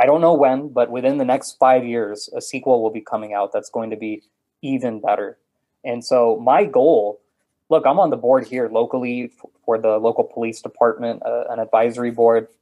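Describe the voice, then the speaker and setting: In an unremarkable speaking voice, a man talks at a medium pitch and moderate pace with fairly even intonation. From Texas, Houston. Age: 30s. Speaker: author and podcast host. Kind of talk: casual interview chat.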